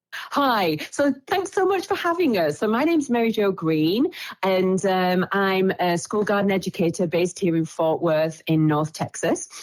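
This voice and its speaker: With an English accent, a woman speaks at a moderate pace with lively intonation, very even loudness and hardly any pauses. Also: medium pitch for a woman. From England. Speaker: school garden educator. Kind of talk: casual chat.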